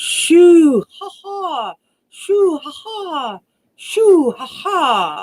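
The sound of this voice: A put-on character voice with big pitch swings, a very slow pace and a slightly mellow tone. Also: woman, extremely high pitch for a woman.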